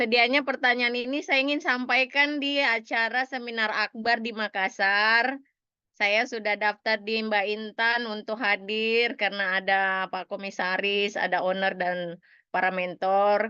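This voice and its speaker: A woman with a Papuan accent and a fairly high pitch, at a fairly slow pace. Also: ordinary pitch variation. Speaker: audience member asking question. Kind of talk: Q&A question. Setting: video call.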